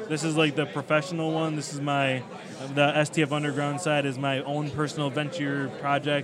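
Noticeable background noise and audible room echo surround a man with an American accent. He speaks at a fairly high pitch and moderate pace, his intonation monotone and flat. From Chicago, US Midwest. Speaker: wrestling podcaster and writer. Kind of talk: casual chat.

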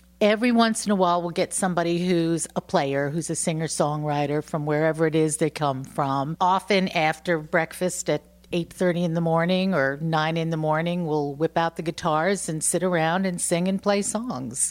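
A woman with a New York accent speaks at a moderate pace, with hardly any pauses. Her pitch is fairly low, with ordinary variation. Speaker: bed and breakfast owner, former singer-songwriter. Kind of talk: casual interview. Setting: at her home.

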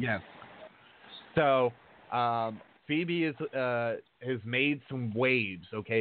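A man with an ordinary speaking voice talks at a medium pitch with ordinary pitch variation. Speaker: radio host and wrestling promoter. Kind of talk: casual chat. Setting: studio.

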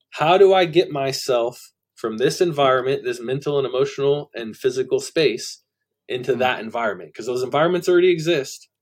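A man with a Californian accent, fairly high-pitched, at a fairly quick pace and with ordinary pitch variation. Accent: Californian American English. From Central Valley, California. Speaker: music producer and life coach. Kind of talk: casual podcast interview.

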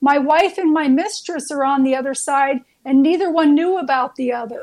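A woman puts on a character voice with a strong Irish accent, speaking at a moderate pace in a high register. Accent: very heavy Irish brogue.

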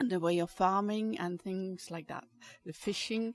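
Speaking at a fairly slow pace, a woman with a Danish accent uses a medium pitch with ordinary pitch variation. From Denmark. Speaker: caterer. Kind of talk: interview. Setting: cafe.

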